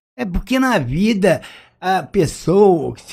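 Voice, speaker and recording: A man speaks at a high pitch in a dark, mellow tone with lively intonation, on a very clean recording with a silent background. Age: 60s. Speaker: retired former footballer. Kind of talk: interview testimony.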